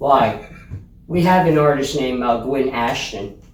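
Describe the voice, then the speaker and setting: Amid audible room echo, the talking unfolds rather slowly with ordinary pitch movement. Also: man. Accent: American. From northern US. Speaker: music show host. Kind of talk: casual chat.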